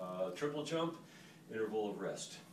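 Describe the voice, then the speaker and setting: Audible room echo and noticeable background noise fill the clip. The man's intonation is lively. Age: 60s. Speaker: fitness instructor. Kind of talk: tutorial. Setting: hotel room. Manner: hesitant, many fillers.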